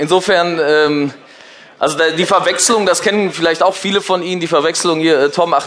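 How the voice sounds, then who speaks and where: Over noticeable background noise, a man talks in a high-pitched voice. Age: 40s. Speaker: marketing agency owner and speaker. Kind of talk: lecture. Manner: halting.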